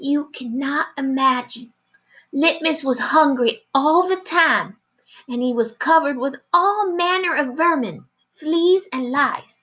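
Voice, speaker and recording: In a dramatic, put-on character voice, a female-sounding speaker talks fairly slowly at a high pitch. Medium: read story. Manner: dramatic, repeats 'yes, ma'am'.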